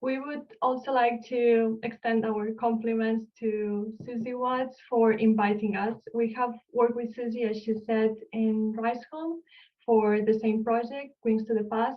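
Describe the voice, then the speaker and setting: A woman with a Spanish accent talks at a fairly slow pace. Her fairly high voice stays monotone and flat. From Spain, Barcelona. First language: Spanish or Catalan. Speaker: archaeologist. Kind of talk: lecture. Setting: online video call.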